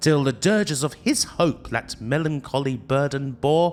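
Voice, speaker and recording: Over music in the background, the speaker takes a fairly slow pace in a dramatic, theatrical tone. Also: man. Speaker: retrogaming YouTuber reading a poem for a show. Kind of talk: dramatic poetry reading. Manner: dramatic, theatrical, spooky.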